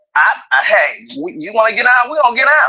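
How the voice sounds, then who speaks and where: A woman speaks in a raised, projected voice with an animated tone, lively intonation and a fairly quick pace. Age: 60s. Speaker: retired law enforcement officer, livestream panelist. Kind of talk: casual chat.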